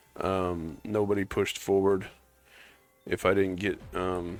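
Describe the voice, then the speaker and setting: Music plays in the background behind a man with a fairly low pitch. He talks at a fairly slow pace in monotone, flat intonation. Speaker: gaming streamer. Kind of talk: casual gameplay commentary. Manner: halting, many fillers.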